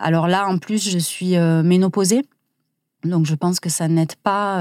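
On a very clean recording with a silent background, a woman speaks fairly slowly at a fairly low pitch with a dark, mellow tone. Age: 40s. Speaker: stationery designer and comic author, cancer survivor. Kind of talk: interview. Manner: halting.

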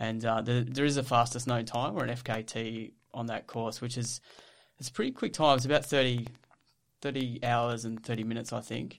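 A man with an Australian accent, medium in pitch, at a moderate pace with monotone, flat intonation, on a very clean recording with a silent background. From Australia, Victoria (Ballarat). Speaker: psychologist and ultra trail runner. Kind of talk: casual interview.

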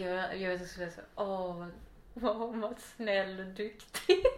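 A woman talks at a medium pitch. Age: 30s. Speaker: podcast guest. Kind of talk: casual interview chat. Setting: at home.

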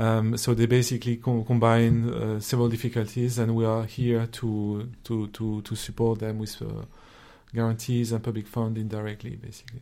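The man speaks in a French accent at a medium pitch with a dark, mellow tone. His intonation is monotone and flat. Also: moderate pace. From France. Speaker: investment officer, former social entrepreneur. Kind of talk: interview conversation.

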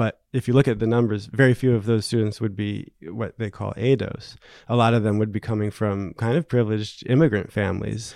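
In an American accent, the voice has a dark, mellow tone, fairly even intonation and a fairly quick pace, recorded very clean with a silent background and a dry, close sound with no echo. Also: man, fairly low pitch for a man. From New Jersey. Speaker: writer. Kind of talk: interview.

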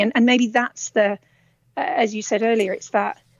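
Here is a woman with a plain, everyday voice. She talks at a fairly quick pace and a fairly high pitch. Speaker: caller. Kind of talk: earnest call-in discussion. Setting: phone call.

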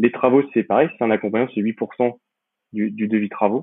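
Fairly quick and fairly even in intonation, a man talks at a fairly low pitch. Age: 30s. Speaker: real estate investor and entrepreneur. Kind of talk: interview. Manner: halting, many repetitions and fillers.

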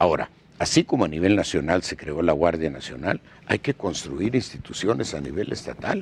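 Speaking at a moderate pace, a man with a very deep, low pitch uses lively intonation and some vocal fry. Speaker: political candidate for state governor. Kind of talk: interview. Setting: studio.

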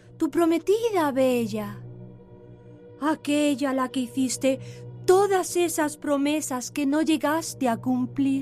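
A put-on character voice, female-sounding and high, at a very slow pace over clear music in the background. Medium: audio drama. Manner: soft, reproachful.

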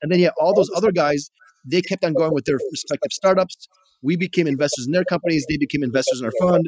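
Dry and close with no echo, a man's high voice with an American accent moves at a very fast pace with ordinary pitch variation. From Chicago, US Midwest. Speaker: tech investor and entrepreneur. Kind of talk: casual interview.

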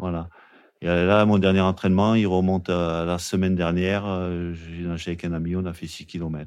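With a quiet background, a man speaks at a moderate pace in a very deep, low pitch and a monotone, flat delivery. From Marseille area, southern France. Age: 50s. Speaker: cold-water open-water swimmer. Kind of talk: interview. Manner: halting.

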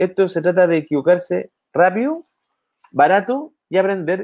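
A man with a Chilean accent, high-pitched and lively in intonation, at a moderate pace, in a dry, close sound with no echo. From Chile, O'Higgins region. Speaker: entrepreneur and innovation consultant. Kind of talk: casual interview. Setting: video call from home office.

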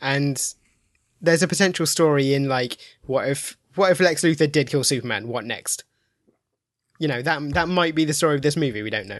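A man with an English Midlands accent and a fairly high pitch speaks at a fairly quick pace with ordinary pitch variation and long, frequent pauses against a quiet background. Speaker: film critic. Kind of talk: casual chat.

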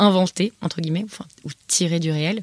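A woman talks at a fairly slow pace with fairly even intonation and a fairly low pitch. The sound is dry and close, with no echo. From France, Paris. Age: 20s. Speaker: author and podcaster. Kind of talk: personal testimony interview. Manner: hesitant, many repetitions and fillers.

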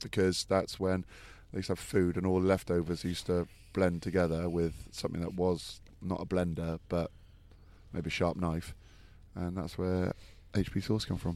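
With a very deep, low pitch, a man speaks at a moderate pace in a monotone, flat intonation. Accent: English. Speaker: rugby pundit. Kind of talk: casual chat.

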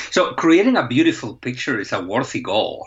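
A man with a Spanish accent. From Spain. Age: 40s. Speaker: professor of visual journalism. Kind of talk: interview.

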